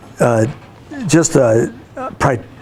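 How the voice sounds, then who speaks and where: The speaker is a man. Noticeable noise runs in the background. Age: 60s. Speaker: school counselor, guest speaker to students. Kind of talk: talk to a class of students. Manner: animated, storytelling with voiced imitations.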